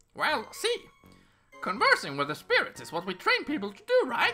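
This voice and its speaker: A put-on character voice delivers lines at a moderate pace with faint music in the background. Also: man, extremely high pitch for a man. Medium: game stream. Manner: chatty, playful.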